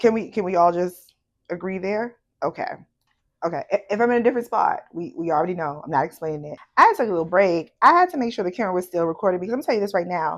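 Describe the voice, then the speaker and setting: Against a quiet background, a woman talks at a very fast pace with an animated tone. Her medium-pitched voice has lively intonation. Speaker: podcast host. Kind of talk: casual chat.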